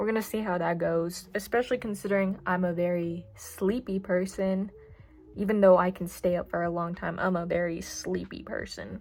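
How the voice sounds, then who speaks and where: A woman's medium-pitched voice at a moderate pace with fairly even intonation, music in the background. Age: young. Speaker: new vlogger. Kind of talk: casual vlog. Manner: casual, filler words.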